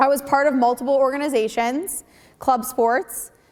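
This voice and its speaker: A woman talks with an American accent. Her pitch sits high. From Connecticut, US. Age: 20s. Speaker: entrepreneur, mental health speaker. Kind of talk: school presentation speech. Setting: school stage with audience, microphone.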